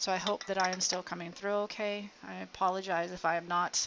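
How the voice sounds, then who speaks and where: A woman is mumbling. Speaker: electronics hobbyist streamer. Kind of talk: live stream tutorial. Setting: outdoors.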